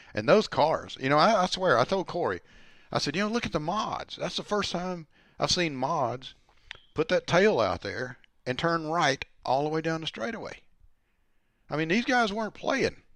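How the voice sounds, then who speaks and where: With a strong Southern US accent, a man speaks at a high pitch with lively intonation. His pace is moderate, broken by long, frequent pauses, over a quiet background. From US South, Alabama. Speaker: former sprint car driver, racing commentator. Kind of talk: casual chat.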